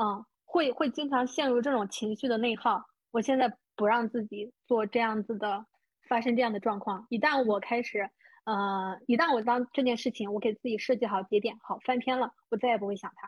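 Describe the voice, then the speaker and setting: Using a plain, everyday voice, a woman speaks at a moderate pace with a fairly high pitch and fairly even intonation. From small rural county town in China. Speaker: podcast host and money-making coach. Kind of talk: interview.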